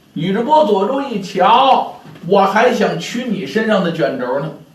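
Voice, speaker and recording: A man talks fairly slowly while noticeable noise fills the background. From Beijing. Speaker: pingshu storyteller. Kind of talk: pingshu storytelling.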